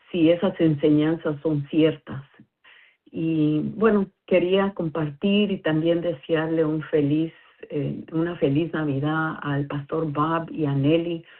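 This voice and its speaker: Very slowly and with fairly even intonation, a woman with a non-native accent speaks in a very deep, low pitch. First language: not Spanish (speaking Spanish). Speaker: listener sharing a message. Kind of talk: recorded listener message. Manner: halting, many fillers.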